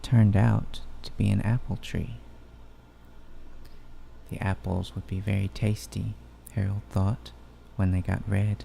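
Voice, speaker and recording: Soft-spoken and fairly slow, a man with a very deep, low voice, a dark, mellow tone, and vocal fry uses very wide pitch swings and long, frequent pauses. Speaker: ASMR channel host. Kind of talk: ASMR bedtime story reading. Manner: soft-spoken, relaxing.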